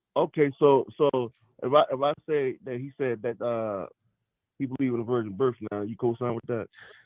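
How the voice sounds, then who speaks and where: A man speaks with a Baltimore accent at a medium pitch. His pace is moderate and his pitch variation ordinary. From Baltimore, US. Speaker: podcast host. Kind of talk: casual debate about scripture. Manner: animated.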